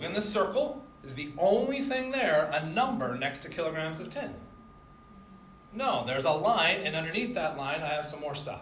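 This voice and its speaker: Amid noticeable background noise and audible room echo, a man with a fairly high pitch makes very wide pitch swings at a moderate pace. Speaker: chemistry instructor. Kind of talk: lecture.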